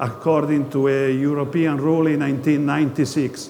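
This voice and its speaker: There is noticeable background noise and audible room echo as a man with an Italian accent talks at a moderate pace and fairly high pitch. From Italy. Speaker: geologist, company presenter. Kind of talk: investor presentation. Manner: halting, many hesitations.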